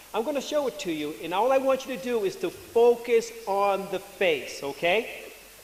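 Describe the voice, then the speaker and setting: At a moderate pace with hardly any pauses, a man speaks at an extremely high pitch with very wide pitch swings over noticeable background noise. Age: 60s. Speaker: retired engineer, patient advocate. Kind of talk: conference presentation. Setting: symposium with audience.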